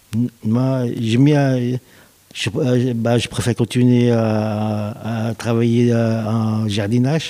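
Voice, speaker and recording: A man with a dark, mellow tone at medium pitch, at a very slow pace, with very even loudness and monotone, flat intonation. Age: 40s. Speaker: gardener in a sheltered workshop. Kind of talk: interview. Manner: halting, with repetitions.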